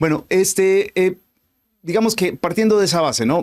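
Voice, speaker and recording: In a dry, close sound with no echo, a man talks at a fairly quick pace with a Colombian accent. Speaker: podcast host. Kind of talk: casual chat.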